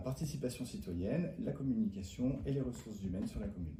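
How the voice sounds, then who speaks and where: Somewhat breathy and dark, mellow in tone, a man's voice carries ordinary pitch variation. Audible room echo is present. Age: 30s. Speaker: municipal election candidate. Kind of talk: interview. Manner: hesitant, many fillers.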